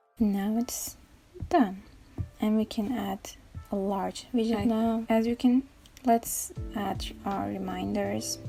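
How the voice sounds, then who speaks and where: With music in the background, a woman with a non-native accent speaks at a very slow pace, pausing long and often. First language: not English. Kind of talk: casual tech tutorial talk. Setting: home recording, imperfect audio.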